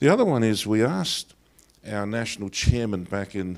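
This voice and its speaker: A man with an Australian accent talks at a moderate pace with ordinary pitch variation. The recording is very clean, with a silent background. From Australia, Greek heritage. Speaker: pastor. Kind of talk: lecture. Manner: hesitant, many fillers.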